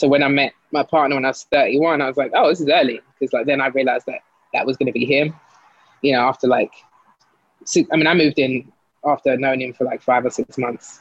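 Talking at a very fast pace, a woman with an American accent has a very deep, low pitch. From South London. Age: 40s. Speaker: advertising executive, guest. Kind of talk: casual interview chat. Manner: animated, laughs often.

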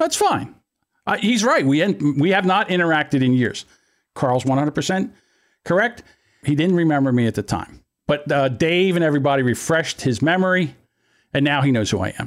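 A man with a Philadelphia accent speaks at a fairly quick pace and fairly high pitch, animated in tone with lively intonation and very even loudness, taking long, frequent pauses on a very clean recording with a silent background. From Philadelphia area, US. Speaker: podcast host. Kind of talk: casual banter podcast. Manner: joking, animated, profane.

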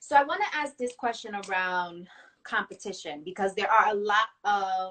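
In a normal speaking voice, a woman of medium pitch talks at a fairly slow pace with ordinary pitch variation. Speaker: interviewer. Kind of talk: interview conversation. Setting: video call, IGTV series.

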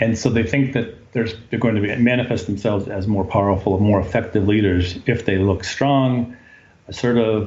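A man's fairly low voice sounds somewhat breathy, with fairly even intonation at a moderate pace. The room echo is audible. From New England. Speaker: business executive. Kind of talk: interview.

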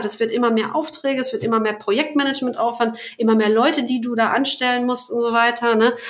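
A woman talks very fast with a high pitch, hardly any pauses and fairly even intonation. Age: 30s. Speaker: business founder and podcast host. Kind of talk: casual interview chat. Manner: hesitant, many fillers.

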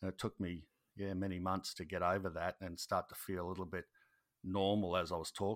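With an Australian accent, a man speaks at a very deep, low pitch in a monotone, flat intonation, the sound dry and close with no echo. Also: fairly quick pace, very clean recording, silent background. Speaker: YouTube gardening creator, former soldier. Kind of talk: casual interview chat. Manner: halting, filler-heavy.

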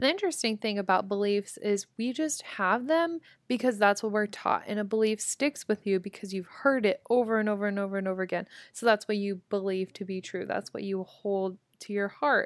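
A woman with a Midwestern accent speaks in an animated tone at a fairly quick pace, her pitch medium with ordinary variation. The recording is very clean and dry, with a silent background and a close sound free of echo. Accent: general American, Midwest. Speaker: podcast host. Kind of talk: casual motivational monologue. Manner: animated, casual.

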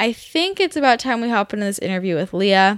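Over a very clean recording with a silent background, a woman with a normal speaking voice talks at a fairly quick pace with lively intonation. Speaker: podcast host, nutritional therapist. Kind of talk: casual interview chat.

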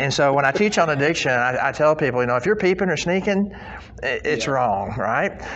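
Noticeable background noise sits behind a man. He talks at a very fast pace with lively intonation. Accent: American. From southwest Missouri (Joplin area). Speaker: addiction recovery advocate and author. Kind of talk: testimony.

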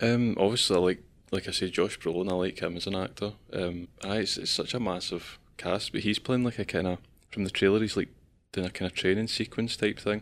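Fairly quick, fairly low-pitched male speech on a very clean recording with a silent background. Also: fairly even intonation. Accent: Scottish. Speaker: podcast host. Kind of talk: casual chat.

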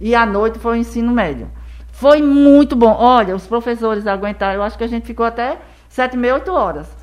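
A woman speaks at a fairly quick pace with a fairly high pitch and ordinary pitch variation. Noticeable background noise runs underneath. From Brazil, Rio Grande do Norte and Paraíba (Northeast). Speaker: educator and school founder. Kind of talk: casual interview.

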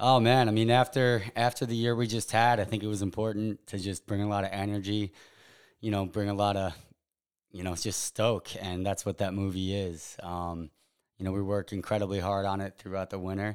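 This man has an unremarkable speaking voice, fairly low in pitch with fairly even intonation. He talks at a fairly quick pace in a very clean recording with a silent background. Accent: American. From Long Island, New York (East Hampton). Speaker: professional photographer. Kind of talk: casual chat.

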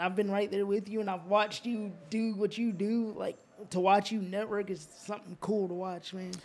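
The speaker has a slight Southern US accent, a moderate pace and monotone, flat intonation. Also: man. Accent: slight Southern country twang. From US South, Georgia (moved from Alaska as a child). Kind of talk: casual chat. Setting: studio.

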